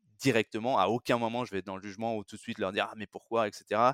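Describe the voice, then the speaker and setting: Delivered very fast in a monotone, flat intonation, the speech has a dry, close sound with no echo. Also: man. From France. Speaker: recruitment manager. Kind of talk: interview. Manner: halting, many repetitions.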